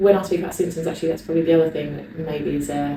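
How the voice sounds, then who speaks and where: Over noticeable background noise and audible room echo, a woman in an English accent speaks with a very deep, low pitch and fairly even intonation. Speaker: vlogger, personal trainer. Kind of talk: casual vlog to camera.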